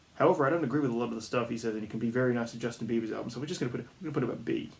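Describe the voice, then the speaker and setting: Over noticeable background noise, a man with a medium-pitched voice talks at a very fast pace with ordinary pitch variation. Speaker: music commentary YouTuber. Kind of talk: casual tier list commentary. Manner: frequent fillers and hesitations.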